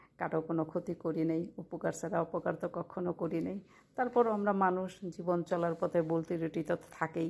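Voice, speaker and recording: Her intonation fairly even, a woman is heard on a very clean recording with a silent background. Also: fairly low pitch for a woman. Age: 40s. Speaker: vlogger. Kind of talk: personal vlog monologue.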